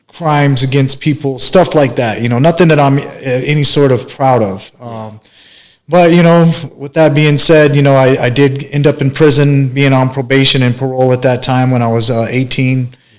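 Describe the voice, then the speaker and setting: A man with an American accent, medium pitch, moderate pace and fairly even intonation. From US Midwest, small-town Kansas and Minnesota. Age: 40s. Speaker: barber and motivational speaker. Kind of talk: interview, life story. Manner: relaxed, hesitant with many fillers.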